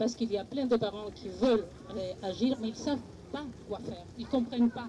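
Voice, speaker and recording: Her intonation fairly even, a woman with a non-native accent talks at a moderate pace and a fairly high pitch. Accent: noticeable foreign. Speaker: parent speaking at a political conference. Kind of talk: panel discussion. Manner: halting, many hesitations.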